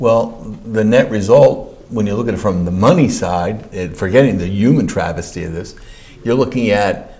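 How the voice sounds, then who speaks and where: Amid noticeable background noise, a man with a fairly low pitch talks at a moderate pace with lively intonation. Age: 60s. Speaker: county comptroller. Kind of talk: interview answer.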